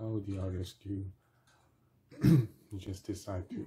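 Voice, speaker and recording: A man's fairly low pitch at a fairly slow pace, with light background noise. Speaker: gamer playing and commentating a video game. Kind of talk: casual gameplay commentary. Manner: halting, thinks aloud with fillers. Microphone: phone near.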